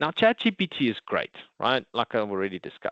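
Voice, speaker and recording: A man with a South African accent at a fairly quick pace, quiet background. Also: dry, close sound with no echo. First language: Afrikaans. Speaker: IT consultant presenting a product. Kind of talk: webinar presentation.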